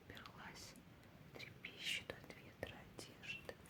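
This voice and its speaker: Noticeable noise fills the background while a woman whispers very slowly. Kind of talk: ASMR page-turning book talk, soft narration. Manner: whispered, soft-spoken.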